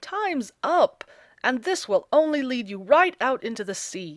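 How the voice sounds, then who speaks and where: Putting on a character voice, a woman speaks at a high pitch and a moderate pace. Her pitch swings very widely and her loudness varies a lot. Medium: read story. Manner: gruff, blustering.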